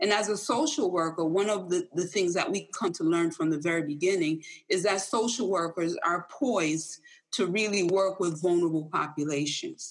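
A woman speaks in a plain, everyday voice at a moderate pace, her fairly low pitch moving with ordinary variation and her loudness very even. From Jamaica, raised in Hartford, Connecticut. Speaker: social work professor. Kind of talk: panel discussion.

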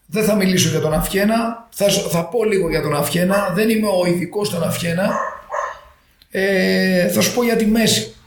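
Over noticeable background noise and audible room echo, a man talks at a fairly slow pace in a high pitch, with ordinary pitch variation and very even loudness. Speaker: physiotherapist. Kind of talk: casual interview. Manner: animated.

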